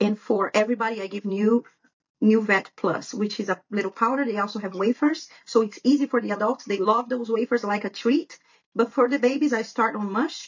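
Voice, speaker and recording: A woman speaks fairly quickly with a Brazilian Portuguese accent, her pitch fairly high with ordinary variation. Her voice is somewhat breathy. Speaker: dog breeder. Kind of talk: podcast interview.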